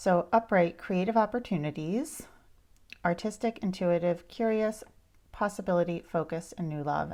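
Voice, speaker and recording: Over a silent background in a very clean recording, a woman speaks at a moderate pace. Her medium-pitched voice has a dark, mellow tone and ordinary pitch variation. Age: 50s. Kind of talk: casual talk to camera. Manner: soft-spoken.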